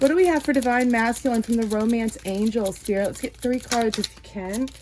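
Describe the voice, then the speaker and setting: Over noticeable background noise, a woman talks at a fairly quick pace in a fairly high pitch. Her pitch varies in an ordinary way while her loudness swings widely. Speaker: tarot card reader. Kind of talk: tarot reading. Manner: animated.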